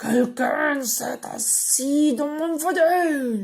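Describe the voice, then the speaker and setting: A put-on character voice pitched high delivers its lines at a very slow pace. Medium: read story.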